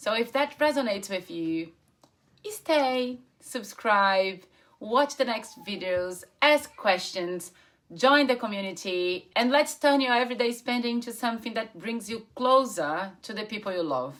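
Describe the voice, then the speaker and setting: Fairly slow, lively intonation from a woman with a fairly high pitch. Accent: Brazilian. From Brazil. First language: Portuguese. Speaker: travel points content creator. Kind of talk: personal story to camera. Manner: casual, unscripted.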